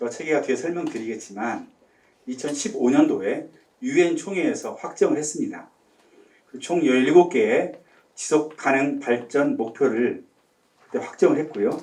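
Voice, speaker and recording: A man speaks at a moderate pace, leaving long, frequent pauses, with audible room echo around him. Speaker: marine policy researcher giving academy lecture. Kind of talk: lecture.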